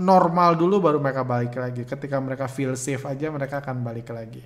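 At a fairly quick pace, a man talks with a fairly high pitch and ordinary pitch variation. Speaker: stock trading educator. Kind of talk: Q&A answering viewer questions. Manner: hesitant, many fillers.

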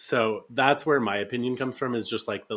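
Heard on a very clean recording with a silent background, a man speaks. His is a plain, everyday voice at a moderate pace. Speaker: podcast co-host. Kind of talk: casual chat, storytelling.

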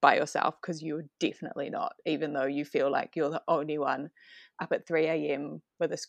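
A dry, close sound with no echo, a New Zealand accent, a fairly quick pace and a quiet background. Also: woman. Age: 30s. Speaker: mother sharing postpartum experience. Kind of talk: casual chat.

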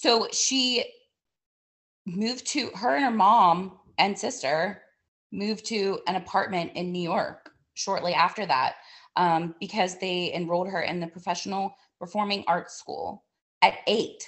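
Taking long, frequent pauses, a woman speaks fairly slowly at a medium pitch with ordinary pitch variation. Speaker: podcast co-host. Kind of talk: casual chat. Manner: animated.

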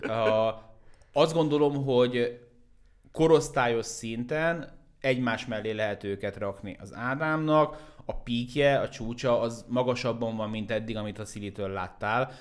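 A man's medium-pitched voice at a very slow pace, ordinary pitch variation, and big swings in loudness. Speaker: basketball expert and content creator. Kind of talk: casual chat.

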